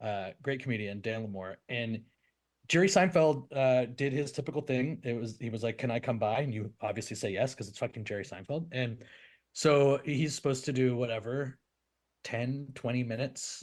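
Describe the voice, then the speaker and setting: Over a quiet background, a man with a Canadian accent has an ordinary speaking voice, medium in pitch with ordinary pitch variation, at a moderate pace. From Canada. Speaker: comedian and podcast co-host. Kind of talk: casual podcast chat.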